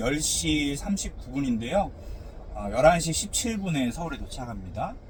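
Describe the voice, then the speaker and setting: Noticeable background noise and audible room echo accompany a man speaking at a fairly slow pace with a fairly high pitch. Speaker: pastor. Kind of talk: casual talk while driving. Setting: in a car. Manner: slow and careful.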